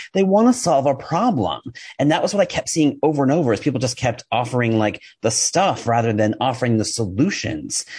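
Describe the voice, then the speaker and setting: A man with an American accent speaks at a fairly quick pace and medium pitch, his voice somewhat breathy. His intonation is lively and his loudness very even. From New York. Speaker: copywriter and email marketing specialist. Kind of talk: podcast interview. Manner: fast; energetic.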